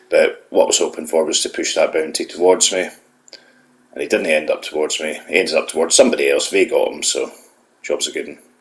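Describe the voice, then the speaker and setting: The speaker talks at a fairly quick pace with a Scottish accent. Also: man. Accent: Scottish brogue. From Scotland. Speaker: gaming YouTuber. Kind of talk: gameplay voiceover commentary. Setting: voiceover recorded after gameplay. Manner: casual, hesitant with fillers.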